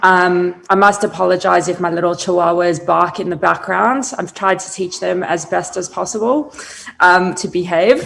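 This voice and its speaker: At a moderate pace, with vocal fry and fairly even intonation, the speaker talks in a slight South African accent. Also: woman, fairly low pitch for a woman. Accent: slight South African accent, noted by herself. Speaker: brand strategist. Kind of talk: interview on a virtual summit. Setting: video call.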